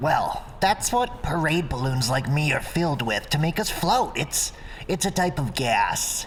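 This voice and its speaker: A put-on character voice at a moderate pace and middle pitch, with clear background noise. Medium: read story. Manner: gruff, blunt.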